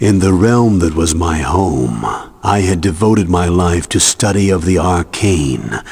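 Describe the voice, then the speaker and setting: A man performs a put-on character voice with a very deep, low pitch. His pace is moderate. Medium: video game. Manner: grave, measured.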